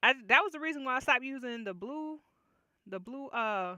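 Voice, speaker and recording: A woman's high, bright, sharp voice is raised and projected, swinging very widely in pitch at a moderate pace. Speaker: writing livestreamer. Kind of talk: casual livestream chat. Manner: loud.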